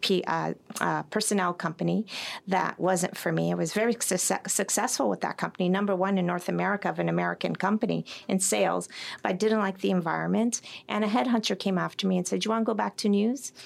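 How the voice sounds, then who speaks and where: With a Canadian accent, a woman speaks at a fairly quick pace. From Toronto, Canada. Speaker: sales executive. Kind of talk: interview. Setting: studio.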